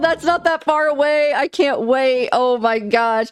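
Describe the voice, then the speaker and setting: A woman speaks against a quiet background. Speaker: gaming YouTuber. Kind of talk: casual gaming commentary to camera. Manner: casual, filler words.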